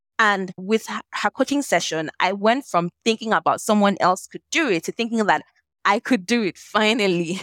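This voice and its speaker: A woman talks with a Nigerian accent at a medium pitch. The recording is very clean, and the background is silent. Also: ordinary pitch variation, moderate pace. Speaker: lawyer and social impact entrepreneur. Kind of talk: interview conversation. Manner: animated.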